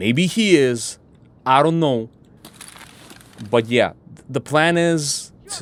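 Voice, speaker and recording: Over noticeable background noise, a man with a fairly high pitch speaks at a very slow pace with lively intonation and long, frequent pauses. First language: not English. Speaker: gaming streamer. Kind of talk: gameplay commentary. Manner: casual, profane.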